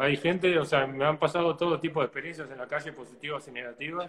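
At a very fast pace with hardly any pauses, a man with a fairly high pitch talks in a somewhat breathy voice with fairly even intonation. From Uruguay. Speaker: flamenco guitarist. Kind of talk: interview.

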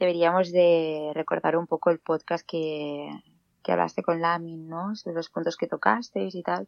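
A woman with an ordinary speaking voice, fairly low in pitch, at a fairly slow pace. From Catalonia, Spain (Granollers). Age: 20s. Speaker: nursing graduate, guest presenter. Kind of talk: casual chat.

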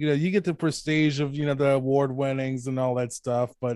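Fairly high in pitch, a man with an American accent talks at a fairly quick pace in a dark, mellow tone, the sound dry and close with no echo. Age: 30s. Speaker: horror novelist and podcast host. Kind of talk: casual interview.

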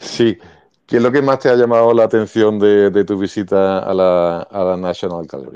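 Against a quiet background, a man talks at a moderate pace in a fairly low pitch, his tone dark and mellow with ordinary pitch variation. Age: 50s. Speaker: teacher and podcast co-host. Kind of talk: casual chat. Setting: online audio room.

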